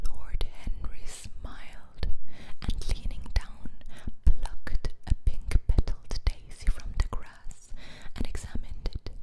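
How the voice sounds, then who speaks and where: Over noticeable background noise, the woman's whispering comes very slowly. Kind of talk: ASMR book reading, whispered. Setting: binaural microphone, close-up recording. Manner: whispered, soft-spoken.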